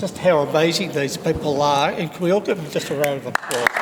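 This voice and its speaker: Fairly quick speech with an Australian accent, with crowd noise in the background. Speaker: panel moderator. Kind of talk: live panel discussion.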